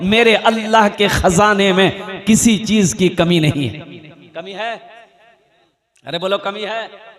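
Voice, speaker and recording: With a high pitch and fairly even intonation, a man speaks with big swings in loudness. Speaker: Islamic preacher giving a sermon. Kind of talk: Islamic religious sermon with humorous anecdotes, delivered to a crowd.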